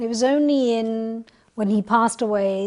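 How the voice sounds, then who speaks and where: A dark, mellow tone carries fairly even intonation in a Punjabi accent. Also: woman. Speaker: panelist. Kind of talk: panel discussion.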